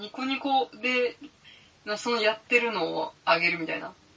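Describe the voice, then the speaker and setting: Woman's fairly high voice with very wide pitch swings over noticeable background noise. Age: 30s. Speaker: podcaster and office worker. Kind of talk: casual chat. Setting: home recording with IC recorder. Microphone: IC recorder with cheap mic.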